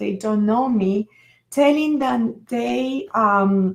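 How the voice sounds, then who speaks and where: In a very clean recording with a silent background, a woman with a Venezuelan accent speaks very slowly in a fairly high, somewhat breathy voice. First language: Spanish. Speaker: author and NLP coach. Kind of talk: live stream talk. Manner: halting.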